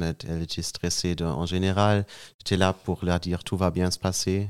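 Very deep and low, a man's voice with a German accent comes through a very clean recording with a silent background and a dry, close sound with no echo. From Germany (Münster). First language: German (speaking French). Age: 20s. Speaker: young father, podcast guest. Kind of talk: personal testimony in casual interview. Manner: halting, searching for words.

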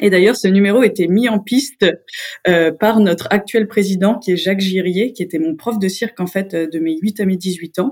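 A woman talks at a moderate pace with ordinary pitch variation in a plain, everyday voice. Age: 30s. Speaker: circus artist. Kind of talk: interview.

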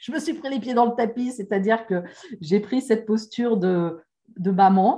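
A woman speaks at a fairly high pitch with a dark, mellow tone. Her voice is somewhat breathy, and her intonation is lively. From France. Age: 50s. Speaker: life coach. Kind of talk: interview.

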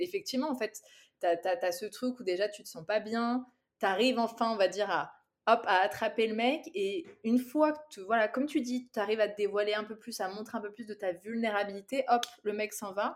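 An unremarkable speaking voice moves at a fairly quick pace with ordinary pitch variation. Its loudness swings widely. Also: woman, fairly high pitch for a woman. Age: 30s. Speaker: content creator. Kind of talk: casual chat.

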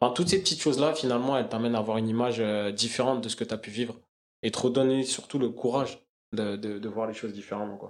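A man talks at a very fast pace, his pitch medium and its variation ordinary. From Paris suburbs, Essonne (91). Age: 20s. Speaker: sports education project manager. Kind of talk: casual interview. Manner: halting.

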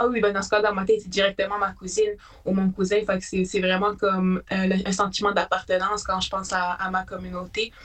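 A woman with a medium pitch talks at a very fast pace. Music plays in the background. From Quebec, Haute-Mauricie (Atikamekw community, La Tuque). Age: 20s. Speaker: student and shelter support worker. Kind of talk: casual interview.

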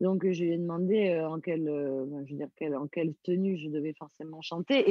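This woman's voice is very deep and low, and she keeps to a moderate speed. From Corsica. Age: 30s. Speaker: singer. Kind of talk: interview.

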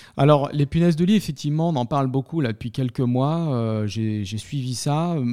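This man has a fairly high voice with a dark, mellow tone. He speaks at a moderate pace with ordinary pitch variation. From Paris. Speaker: property manager. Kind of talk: interview. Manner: halting.

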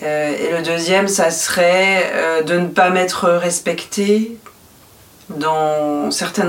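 A woman's fairly even intonation comes through noticeable background noise and audible room echo. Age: 40s. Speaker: podcast guest sharing personal story. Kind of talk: intimate interview.

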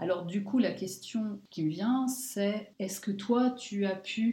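The voice is somewhat breathy and dark and mellow in tone, moving at a very slow pace with ordinary pitch variation. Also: woman. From France. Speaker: podcast co-host, sophrologist. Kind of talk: interview.

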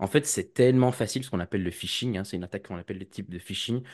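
A man speaks against a quiet background. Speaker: cybersecurity student and association president. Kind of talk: casual interview. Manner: hesitant, many fillers.

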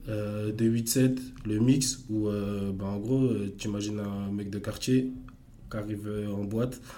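In a dark, mellow tone, a man speaks very slowly at a fairly low pitch with monotone, flat intonation, and room echo is audible. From Paris suburbs, France. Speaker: electro dancer and entrepreneur. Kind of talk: casual interview. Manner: halting, many repetitions.

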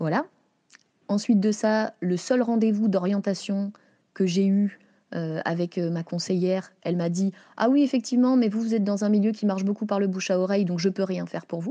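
Against a quiet background, the speaker's dark, mellow tone moves at a moderate pace with ordinary pitch variation. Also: woman, medium pitch for a woman. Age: 30s. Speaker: freelance journalist. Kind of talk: interview testimony. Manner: talkative, lively.

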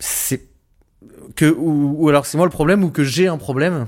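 This very clean recording with a silent background features a man speaking. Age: 30s. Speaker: interviewee, asexual person. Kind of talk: interview testimony. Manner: halting.

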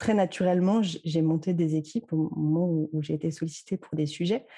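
At a fairly slow pace, this dark, mellow voice keeps its intonation fairly even. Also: woman. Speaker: social media consultant. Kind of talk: interview. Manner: halting.

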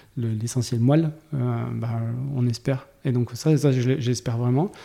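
A man speaks at a medium pitch with a dark, mellow tone. His intonation stays fairly even in a very clean recording with a silent background. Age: 40s. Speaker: tech executive (CTO). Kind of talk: interview conversation. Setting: studio, face to face. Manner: halting, many repetitions.

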